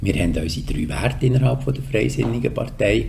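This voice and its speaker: A man with a very deep, low pitch talks at a fairly quick pace, with noticeable background noise and audible room echo. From Switzerland, canton Solothurn. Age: 60s. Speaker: politician and communications executive. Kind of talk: podcast interview.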